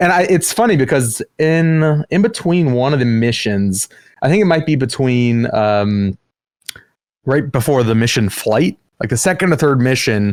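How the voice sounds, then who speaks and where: In an American accent, a man with a medium pitch talks at a moderate pace with lively intonation and very even loudness, the sound dry and close with no echo. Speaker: podcast host. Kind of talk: casual chat.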